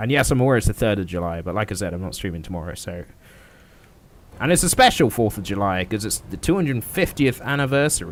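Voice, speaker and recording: Speaking very fast in a British accent, a man with a fairly low voice swings his pitch very widely. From Britain. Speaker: gaming livestreamer. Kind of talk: casual gameplay livestream commentary. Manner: casual, with frequent filler words.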